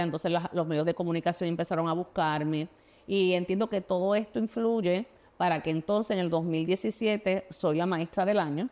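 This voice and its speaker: A woman with a Puerto Rican accent, medium pitch and fairly even intonation, on a very clean recording with a silent background. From Puerto Rico. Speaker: state legislator and former teacher. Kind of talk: interview. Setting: studio. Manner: halting, many fillers and restarts.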